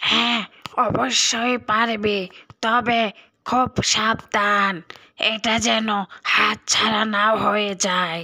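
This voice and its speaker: A cartoonish character voice, female-sounding and raspy, at a fairly high pitch for a woman and a very slow pace. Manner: reassuring, storyteller-like.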